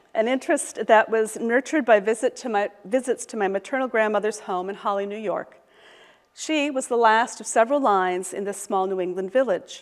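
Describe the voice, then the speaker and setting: A plain, everyday voice in an American accent, at a fairly quick pace with ordinary pitch variation. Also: woman, fairly high pitch for a woman. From US Midwest, Michigan. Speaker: professor, historian. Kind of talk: lecture. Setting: lecture hall with audience, also streamed online.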